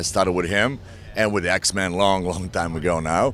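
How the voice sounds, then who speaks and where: A man speaks with a Slavic accent. His pace is moderate. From Eastern Europe. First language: Slavic language. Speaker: actor. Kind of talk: press interview.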